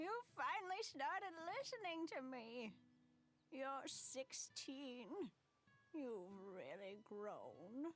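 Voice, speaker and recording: A put-on character voice drags along at a very slow pace, broken by long, frequent pauses. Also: woman, high pitch for a woman. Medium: video game. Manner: scolding, fond.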